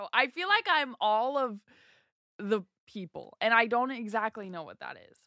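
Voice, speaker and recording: The voice has a bright, sharp tone and an American accent. It moves at a moderate pace in a dry, close sound with no echo. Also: woman, fairly high pitch for a woman, lively intonation, big swings in loudness. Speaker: actress and YouTuber. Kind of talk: casual chat.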